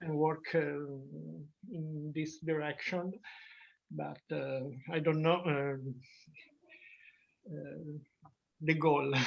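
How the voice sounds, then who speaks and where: Very slowly, a woman speaks in a very deep, low voice with fairly even intonation. Her loudness swings widely, and long, frequent pauses recur. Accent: Italian. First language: Italian. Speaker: artist in residence. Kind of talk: casual group discussion. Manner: halting, many hesitations.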